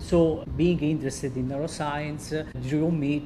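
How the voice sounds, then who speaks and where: Very deep, low-pitched woman's voice with an Italian accent, fairly slow, in audible room echo. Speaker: neurology resident. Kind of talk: interview. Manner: halting.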